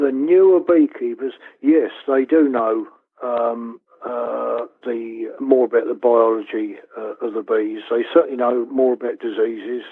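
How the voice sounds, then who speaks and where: A man with a Southern English accent speaks at a fairly slow pace. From West Sussex, England. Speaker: beekeeper. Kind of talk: interview answer. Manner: hesitant, conversational.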